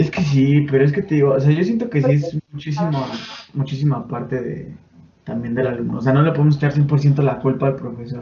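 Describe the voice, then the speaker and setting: Here a man uses a normal speaking voice at fairly high pitch. His pace is fairly quick. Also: ordinary pitch variation. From Mexico, State of Mexico (Chimalhuacán). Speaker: podcast host. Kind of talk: casual chat. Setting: home bedroom.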